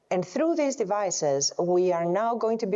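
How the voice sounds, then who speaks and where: A woman with a Greek accent and lively intonation. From Greece. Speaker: epidemiologist and health researcher. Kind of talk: panel discussion. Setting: conference stage with audience.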